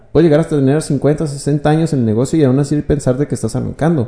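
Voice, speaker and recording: A man's dark, mellow tone sits at a fairly high pitch, moving at a fairly quick pace with fairly even intonation. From Chihuahua, northern Mexico. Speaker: entrepreneur and finance consultant. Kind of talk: podcast interview.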